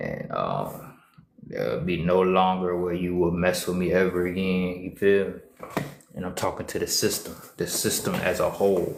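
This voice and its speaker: A man speaks at a moderate pace in a very deep, low voice. The room echo is audible and there is noticeable background noise. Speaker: social media streamer. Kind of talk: casual livestream monologue. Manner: repetitive, emphatic.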